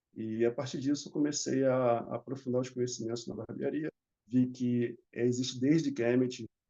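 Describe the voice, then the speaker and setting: This man has a normal speaking voice of medium pitch. He speaks at a moderate pace with fairly even intonation. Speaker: barber. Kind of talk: conference panel talk.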